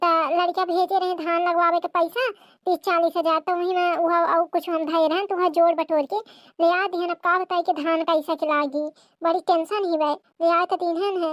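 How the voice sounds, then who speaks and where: This is a cartoonish character voice that sounds female, set at an extremely high pitch. It moves at a fairly quick pace. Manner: cunning, wheedling.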